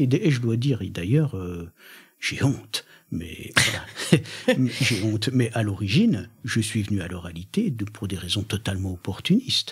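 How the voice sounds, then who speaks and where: Somewhat breathy speech with lively intonation at a moderate pace. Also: man. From Franche-Comté, eastern France. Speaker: poet and performer. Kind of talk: radio interview. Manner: hesitant, many fillers and restarts.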